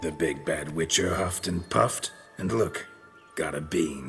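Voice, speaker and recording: With clear music in the background, a man does a raspy, cartoonish character voice at a very deep, low pitch and a moderate pace. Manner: gruff monotone, terse.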